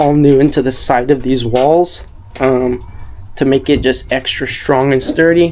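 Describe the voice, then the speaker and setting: A man talks at a fairly slow pace. His intonation stays monotone and flat. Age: 20s. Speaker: surfer and filmmaker. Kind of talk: casual talk to camera.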